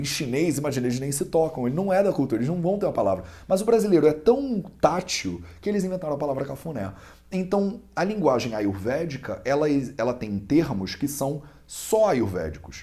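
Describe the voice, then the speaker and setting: With a Carioca accent, a man talks at a fairly quick pace in a dark, mellow, somewhat breathy tone, his fairly high pitch moving in very wide swings. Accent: clear carioca. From Brazil, Rio de Janeiro. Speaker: Ayurveda student and teacher. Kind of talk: interview explanation. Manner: conversational with hesitations.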